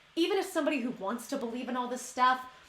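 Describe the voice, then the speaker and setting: The voice is raised and projected, with a very fast pace and an animated, bright, sharp tone. Room echo is audible. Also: woman. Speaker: YouTuber. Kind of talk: casual vlog monologue. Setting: at home.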